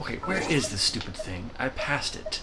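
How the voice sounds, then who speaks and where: A soft-spoken man with lively intonation at a moderate pace, with audible room echo and noticeable background noise. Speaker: gamer streamer. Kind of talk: let's play commentary. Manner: casual.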